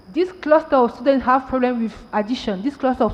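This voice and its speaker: A woman speaks in a French accent. Her pitch is high. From Cameroon. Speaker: tech entrepreneur and panelist. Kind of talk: panel discussion.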